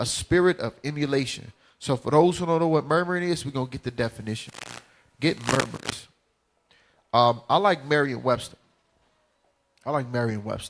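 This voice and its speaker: With a Southern US accent, a man speaks at a moderate pace with a fairly high pitch and ordinary pitch variation. His tone is animated, and his speech has long, frequent pauses. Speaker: bible teacher. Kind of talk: religious class teaching. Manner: casual, animated.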